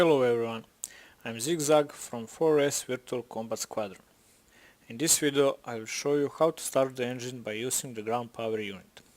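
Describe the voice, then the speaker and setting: A speaker with a Balkan accent shows big swings in loudness and ordinary pitch variation. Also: man, medium pitch for a man, moderate pace. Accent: Slavic (Serbo-Croatian) accent in English. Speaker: flight sim gamer / tutorial maker. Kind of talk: tutorial. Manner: measured, instructional.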